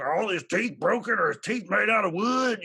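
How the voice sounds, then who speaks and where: A man puts on a character voice, pitched high for a male speaker. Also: fairly quick pace. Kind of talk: childlike questioning. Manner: silly, ridiculous.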